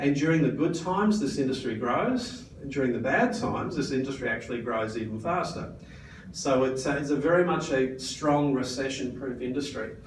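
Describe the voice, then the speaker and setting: In an Australian accent, a man talks at medium pitch and a fairly quick pace with ordinary pitch variation. Audible room echo and noticeable background noise fill the recording. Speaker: network marketing business presenter. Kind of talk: sales pitch.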